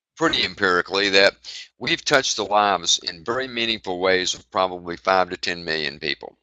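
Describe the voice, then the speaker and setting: A man with a plain, everyday voice at a fairly quick pace, his pitch varying in an ordinary way. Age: 60s. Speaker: executive of a heart-focused wellness organization. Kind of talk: interview. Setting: live online webinar.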